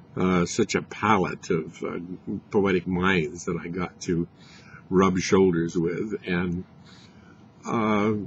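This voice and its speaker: A man speaks in a very deep, low voice with an American accent. He goes at a very slow pace with fairly even intonation. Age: 70s. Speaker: poet. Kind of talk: casual talk to camera. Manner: halting, many fillers.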